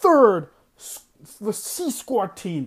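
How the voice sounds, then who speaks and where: Very slow and marked by very wide pitch swings, a man's speech comes through on a very clean recording with a silent background. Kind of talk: angry rant. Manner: exasperated, heated, ranting with sarcastic disbelief; self-mocking, fed-up and loud-sounding, losing patience.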